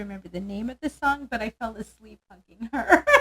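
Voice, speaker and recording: Recorded with a dry, close sound and no echo, a woman talks in a somewhat breathy voice at a fairly high pitch. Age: 60s. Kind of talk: casual chat.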